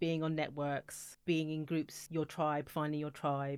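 In a British accent, a woman speaks fairly quickly at a very deep, low pitch with monotone, flat intonation on a very clean recording with a silent background. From UK. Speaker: music industry executive. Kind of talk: interview. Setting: studio.

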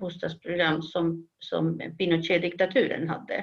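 A woman's fairly low voice with a Spanish accent, at a fairly slow pace with fairly even intonation. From Chile. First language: Spanish (speaking Swedish). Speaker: professor of human geography. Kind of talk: interview. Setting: video call.

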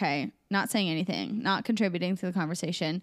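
In a very clean recording with a silent background, a woman with a Midwestern US accent speaks at a fairly quick pace and medium pitch, with vocal fry. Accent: US Midwest. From Des Moines, Iowa. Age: 20s. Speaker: podcast co-host. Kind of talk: casual chat.

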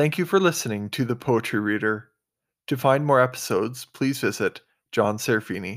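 This man has an ordinary speaking voice at a medium pitch, with ordinary pitch variation. The recording is very clean, with a silent background. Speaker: poetry podcast host and reader. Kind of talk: poetry reading aloud. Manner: formal, reverent.

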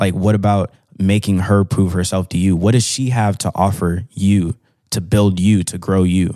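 A man speaks in a very deep, low voice with monotone, flat intonation at a moderate pace. The recording is very clean with a silent background, and the sound is dry and close with no echo. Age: 20s. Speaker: air force staff sergeant. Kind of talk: casual chat.

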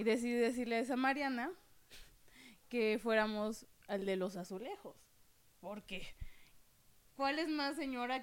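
A woman with a fairly high pitch speaks with lively intonation, big swings in loudness, and long, frequent pauses. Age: 20s. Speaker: podcast co-host, visual artist. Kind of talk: casual chat.

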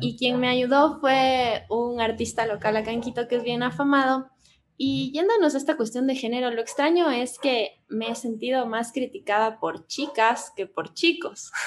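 Against a quiet background, a woman with a high voice talks fairly slowly, her pitch varying in an ordinary way. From Ecuador, Cuenca. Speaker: tattoo artist and psychologist. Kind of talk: casual chat.

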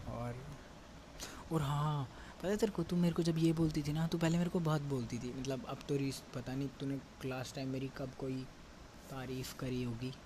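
At a moderate pace, this somewhat breathy voice has a dark, mellow tone and ordinary pitch variation. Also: man, fairly high pitch for a man. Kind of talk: casual personal message to a friend.

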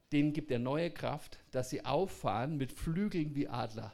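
The speaker talks at a fairly slow pace. Pitch moves up and down in an ordinary way. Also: man. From Bavaria. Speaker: entrepreneur.

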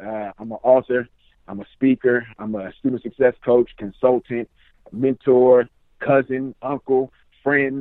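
A man uses a normal speaking voice at medium pitch and a fairly slow pace. His intonation is fairly even, with big swings in loudness. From Richmond, California. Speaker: author and student success coach. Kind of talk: casual interview.

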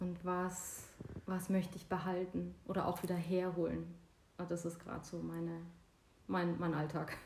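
Amid audible room echo, a woman with a fairly low, somewhat breathy voice speaks at a moderate pace in a monotone, flat intonation, leaving long, frequent pauses. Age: 40s. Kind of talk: casual chat. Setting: at home on a couch.

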